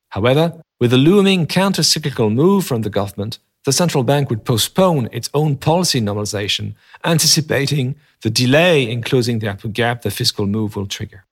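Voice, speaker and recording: With a French accent, a somewhat breathy voice shows lively intonation on a very clean recording with a silent background and a dry, close sound with no echo. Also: man, medium pitch for a man. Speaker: economist podcast host. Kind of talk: scripted narration; casual chat. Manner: formal; hesitant with many filler sounds.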